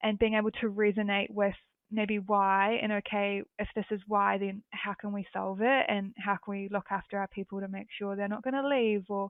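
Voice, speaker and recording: Speaking with a New Zealand accent, a woman keeps a medium pitch and a moderate pace. Her delivery is monotone and flat, with hardly any pauses. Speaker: recruitment consultant. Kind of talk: podcast interview. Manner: hesitant, with many fillers.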